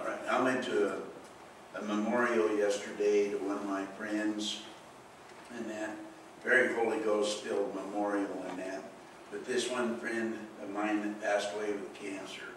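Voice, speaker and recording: A man's fairly low, monotone, flat voice at a moderate pace, with long, frequent pauses, strong room echo and light background noise. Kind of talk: prayer then sermon talk. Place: church.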